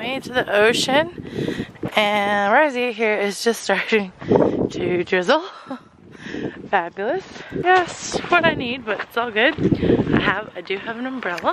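Loud background noise sits behind a woman speaking at a fairly slow pace. Her long, frequent pauses come through in a dry sound with no echo. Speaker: travel vlogger. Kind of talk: casual vlog chat. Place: waterside. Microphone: phone near.

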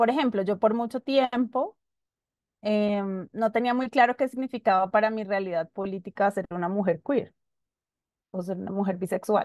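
A woman speaks at a moderate pace with a fairly high pitch and ordinary pitch variation, leaving long, frequent pauses. The background is quiet, and the sound is dry with no echo. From Colombia, Bogotá. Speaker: human rights lawyer; panelist. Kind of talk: panel discussion. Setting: video call. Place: home room. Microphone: video call.

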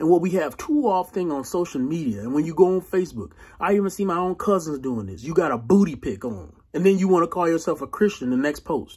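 A man speaks with a fairly high, slightly mellow voice that has a husky, rough edge and lively intonation. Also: fairly quick pace.

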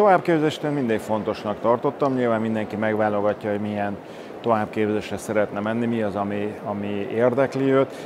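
A man talks at a fairly quick pace with a fairly low pitch. His pitch varies in an ordinary way, and there is noticeable background noise. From Hungary. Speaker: oral surgeon; speaker. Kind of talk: interview. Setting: at a congress venue. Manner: hesitant, with fillers. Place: hall.

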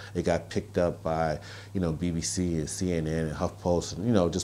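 The man has a very deep, low pitch. He speaks at a moderate pace over light background noise. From US Northeast, Brooklyn, New York. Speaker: author and activist. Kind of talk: interview. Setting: outdoors. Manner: halting. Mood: earnest, measured. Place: home room. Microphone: lapel.

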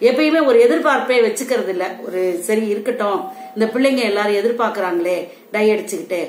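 Audible room echo surrounds a woman speaking at a fairly high pitch with lively intonation. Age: 60s. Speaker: home remedy video blogger selling herbal products; herbal product seller. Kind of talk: tutorial vlog addressing viewers. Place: home room. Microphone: phone near.

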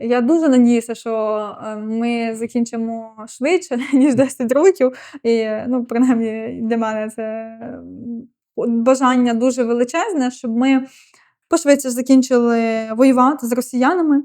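The delivery is fairly slow, with fairly level intonation. The tone is dark and mellow. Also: woman, high pitch for a woman. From western Ukraine, Ivano-Frankivsk. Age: 20s. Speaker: military officer. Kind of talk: interview.

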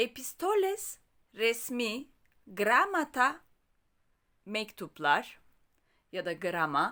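Very slow speech with long, frequent pauses, a bright, sharp tone and very wide pitch swings, on a very clean recording with a silent background. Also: woman, fairly high pitch for a woman. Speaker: Greek language teacher. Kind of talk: language tutorial.

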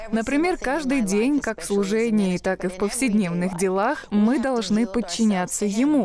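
Over noticeable background noise, a woman with a fairly high pitch talks at a moderate pace with hardly any pauses, very even loudness and lively intonation. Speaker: minister and evangelist. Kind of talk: testimony. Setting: studio.

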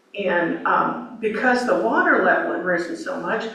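A woman speaks over noticeable background noise. Audible room echo surrounds her voice. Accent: American. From US West Coast, Oregon. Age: 70s. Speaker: local resident giving public comment. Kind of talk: public comment at a city meeting. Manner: halting.

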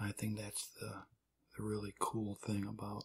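The voice is soft-spoken. Its tone is relaxed. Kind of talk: soft-spoken ASMR card trick demonstration, casual talk to camera. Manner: soft-spoken, relaxed.

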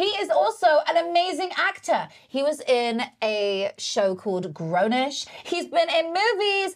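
An animated woman speaks with a southern English accent in an extremely high voice. Her pitch swings very widely. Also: fairly slow pace. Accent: southern English British. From England. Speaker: podcast host and motivational speaker. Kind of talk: casual interview. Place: studio.

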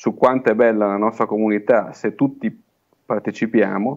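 The background is quiet. A man talks in a fairly low voice with fairly even intonation. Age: 30s. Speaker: small-town mayor. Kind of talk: remote interview. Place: office. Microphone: earbuds.

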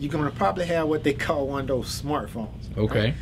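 A man's voice comes through with music in the background. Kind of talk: interview answer. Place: office. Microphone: camera far.

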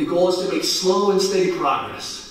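A man speaks at a high pitch with fairly even intonation. Strong room echo surrounds his voice.

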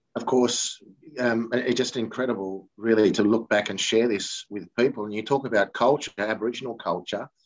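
A man with an Australian accent speaks at a moderate pace and medium pitch, the sound dry and close with no echo. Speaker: football broadcaster, former player. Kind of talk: interview.

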